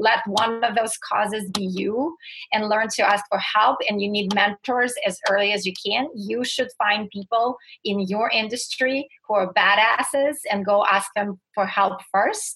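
Speaking with a Russian accent at a fairly slow pace, a woman uses a fairly high pitch, a bright, sharp tone, and fairly even intonation. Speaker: motivational speaker and success coach. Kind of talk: interview.

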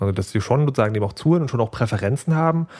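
On a very clean recording with a silent background, a man talks at a very fast pace. His pitch varies in an ordinary way. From Saxony, Dresden. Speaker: podcast host. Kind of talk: casual chat.

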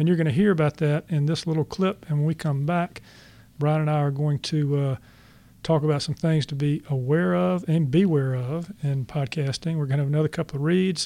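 This man has a dark, mellow tone and a fairly high pitch, speaking at a fairly quick pace with ordinary pitch variation. The recording is very clean, with a silent background. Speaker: podcast host and author. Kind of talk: interview conversation. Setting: studio. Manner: laid back.

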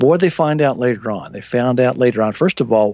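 A man's unremarkable speaking voice at medium pitch with ordinary pitch variation. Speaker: radio host. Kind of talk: call-in radio show. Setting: phone calls.

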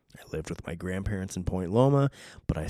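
An American accent with a dark, mellow tone, captured in a very clean recording with a silent background and a dry, close sound with no echo. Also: man. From Southern California. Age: 30s. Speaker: podcast host and jiu-jitsu coach. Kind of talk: casual solo monologue. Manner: rambling, filler-heavy; laid-back and jokey.

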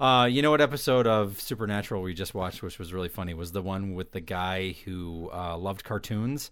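A man talks fairly quickly with hardly any pauses, his pitch fairly low. His is an ordinary speaking voice with ordinary pitch variation. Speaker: podcast host. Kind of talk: casual chat.

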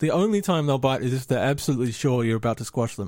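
This very clean recording with a silent background has a man speaking at medium pitch with ordinary pitch variation. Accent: Australian. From Australia. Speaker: spider enthusiast guest. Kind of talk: casual chat. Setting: studio.

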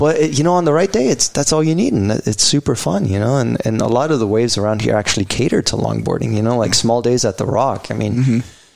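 Over noticeable background noise, a man speaks at a very fast pace and medium pitch, with very even loudness, lively intonation and hardly any pauses. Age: 40s. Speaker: winemaker. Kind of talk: casual chat.

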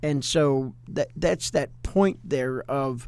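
A man with a fairly high voice and a dark, mellow tone speaks very slowly, his pitch moving in an ordinary way. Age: 60s. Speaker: pastor and podcast co-host. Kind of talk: casual chat.

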